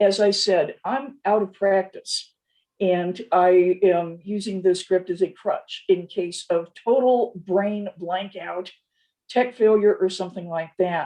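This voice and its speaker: A woman with a dark, mellow tone speaks very slowly, her intonation fairly even. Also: medium pitch for a woman. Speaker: professor. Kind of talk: academic lecture read partly from a script. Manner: slower than usual, careful consonants; slightly stilted, read from a script.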